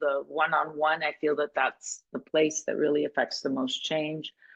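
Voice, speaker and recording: Very deep, low female voice at a fairly slow pace. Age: 60s. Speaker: coach. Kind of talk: interview conversation. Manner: halting, many restarts.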